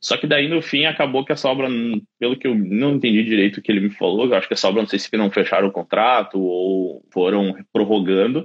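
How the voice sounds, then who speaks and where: An ordinary speaking voice from a man, medium pitch, ordinary pitch variation, fairly quick pace. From southern Brazil (Caxias do Sul, Rio Grande do Sul). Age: 30s. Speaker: site engineer. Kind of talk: casual interview on a livestream. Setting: live video stream.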